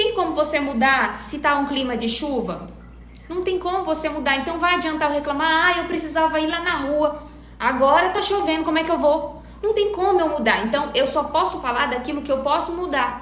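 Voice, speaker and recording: In a northeastern Brazilian accent, a woman with a high-pitched voice speaks at a moderate pace with ordinary pitch variation, amid audible room echo and noticeable background noise. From Northeast Brazil. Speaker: back pain health professional. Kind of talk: live stream talk answering viewers. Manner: casual conversational.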